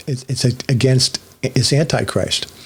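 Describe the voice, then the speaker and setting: Noticeable background noise behind a man talking at a moderate pace, his pitch medium. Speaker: online religious teacher. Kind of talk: solo monologue teaching.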